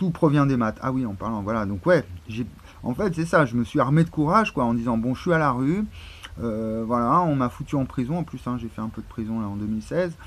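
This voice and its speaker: Amid noticeable background noise, a man of medium pitch speaks at a fairly quick pace with lively intonation. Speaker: YouTuber. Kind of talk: casual monologue. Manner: halting.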